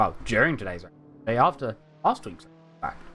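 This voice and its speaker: There is music in the background as a man talks. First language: not English. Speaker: sim racing commentator. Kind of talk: live commentary. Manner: animated.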